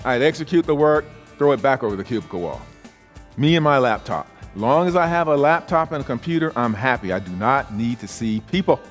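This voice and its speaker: A man with an American accent speaks at a fairly quick pace, his fairly high pitch carried by lively intonation while music plays in the background. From South Carolina, USA. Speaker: professional keynote speaker and author. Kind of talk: keynote speech with humor and stories. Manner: blunt, conversational, humorous.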